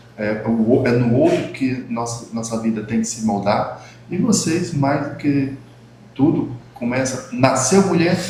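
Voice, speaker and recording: Over noticeable background noise and audible room echo, a man with a medium pitch talks at a fairly slow pace with lively intonation. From Brazil, Northeast (Rio Grande do Norte, Mossoró). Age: 60s. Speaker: talk show host, former health official. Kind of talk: casual chat. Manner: halting, many fillers and repetitions.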